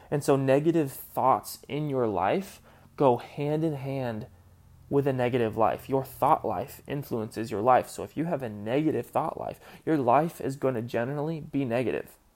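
A man's medium-pitched voice at a moderate pace, with ordinary pitch variation, on a very clean recording against a silent background. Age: 20s. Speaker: faith podcast host. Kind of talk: solo podcast monologue.

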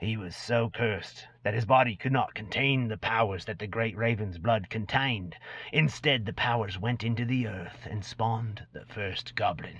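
A man puts on a character voice at medium pitch, speaking at a moderate pace. Hissing can be heard. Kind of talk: dramatic reading. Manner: sly, boastful storyteller.

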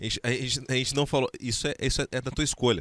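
Fairly quick speech with vocal fry, dry and close with no echo, on a very clean recording against a silent background. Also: man. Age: 30s. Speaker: radio host. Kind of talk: casual chat. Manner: halting.

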